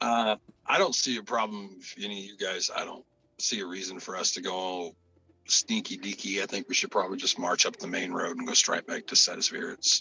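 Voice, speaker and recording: Putting on a raspy character voice, a man speaks fairly quickly at a fairly low pitch, with big swings in loudness. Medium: actual play. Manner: casual, straightforward.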